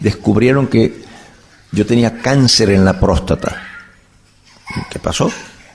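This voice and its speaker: Over noticeable background noise, a man with a medium pitch talks with lively intonation. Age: 70s. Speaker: bible teacher. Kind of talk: lecture. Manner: animated.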